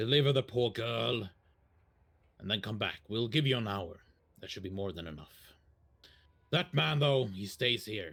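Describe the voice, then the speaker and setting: Putting on a character voice, a man speaks at a moderate pace with fairly low pitch, lively intonation, big swings in loudness, and long, frequent pauses. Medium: actual play. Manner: cool, controlled.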